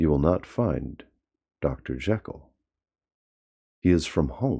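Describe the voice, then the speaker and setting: A man's husky, put-on character voice, very deep and low in pitch, at a fairly slow pace. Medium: read story. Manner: curt and defensive.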